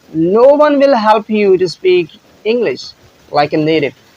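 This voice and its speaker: A man with a Pakistani accent talks at a fairly slow pace, his high pitch showing lively intonation. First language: Punjabi. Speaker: English teacher. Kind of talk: tutorial.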